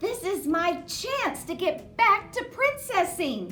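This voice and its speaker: A woman puts on a character voice at an extremely high pitch. She speaks at a fairly slow pace with clear music in the background. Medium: read story. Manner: sassy, blunt.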